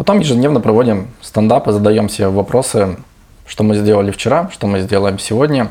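A man speaks at a moderate pace while noticeable noise sits in the background. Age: 30s. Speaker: entrepreneur. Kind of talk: casual interview.

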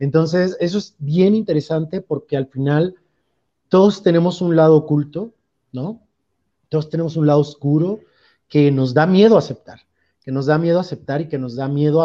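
A man with a Mexican accent and a dark, mellow tone, fairly high in pitch, with ordinary pitch variation, a moderate pace and long, frequent pauses. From Veracruz, Mexico. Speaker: theatre director. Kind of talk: interview. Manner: hesitant, many fillers.

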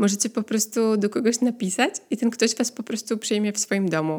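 This woman talks at a moderate pace in a medium pitch, her intonation fairly even. The recording is very clean with a silent background. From Poland. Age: 30s. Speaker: podcast host. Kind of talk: casual solo monologue. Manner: conversational, many filler sounds.

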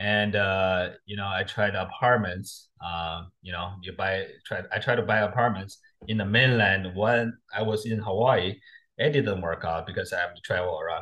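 A man with a Chinese accent, fairly low in pitch, at a moderate pace with fairly even intonation. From China. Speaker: real estate investor. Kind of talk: interview. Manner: halting.

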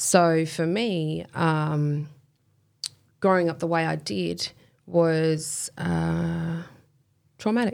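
A woman with an Australian accent at a very slow pace, long and frequent pauses, and a very clean recording over a silent background. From Western Australia, Kwinana area. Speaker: professional boxer and personal trainer. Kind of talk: casual interview.

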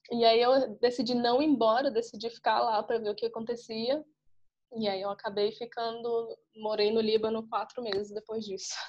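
A woman talks with monotone, flat intonation at a fairly high pitch. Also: moderate pace. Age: 20s. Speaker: travel podcaster and digital nomad. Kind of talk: casual interview.

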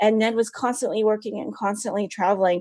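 Against a quiet background, a woman with an American accent talks at a medium pitch. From US West Coast, San Francisco Bay Area. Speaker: author and writer. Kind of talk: interview.

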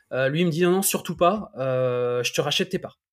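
A man with an unremarkable speaking voice and ordinary pitch variation. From France, Le Mans. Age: 40s. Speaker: entrepreneur and property investor. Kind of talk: interview.

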